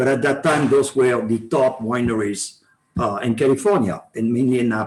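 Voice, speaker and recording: A man with a French accent, medium pitch, a moderate pace and very even loudness. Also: ordinary pitch variation. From France, Bordeaux. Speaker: wine sales manager. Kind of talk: club talk to an audience. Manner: halting, many fillers.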